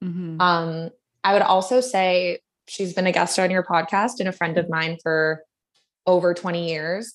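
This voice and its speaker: A woman's plain, everyday voice with a Canadian accent, fairly low in pitch, at a fairly slow pace with fairly even intonation. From Canada, Vancouver. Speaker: advertising producer and art director. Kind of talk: casual interview.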